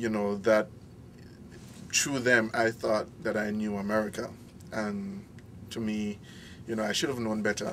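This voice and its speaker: Speaking with a Belizean accent, a man uses a fairly low pitch and fairly even intonation at a fairly slow pace, with long, frequent pauses. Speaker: international student. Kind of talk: interview.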